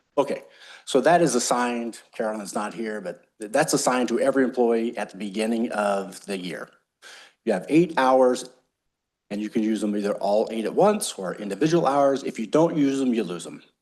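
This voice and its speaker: A man's ordinary speaking voice with an American accent, medium in pitch, at a fairly quick pace, with ordinary pitch variation, big swings in loudness and a quiet background. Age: 60s. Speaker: utility district general manager. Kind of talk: board meeting discussion. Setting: public board meeting.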